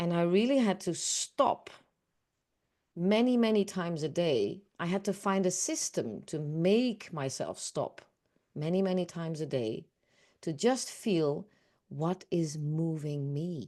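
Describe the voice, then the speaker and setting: Over a quiet background, a woman with a Dutch accent talks at a fairly slow pace with lively intonation. Her tone is dark and mellow, and her pitch is fairly low. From Netherlands. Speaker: awareness coach. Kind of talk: group session discussion.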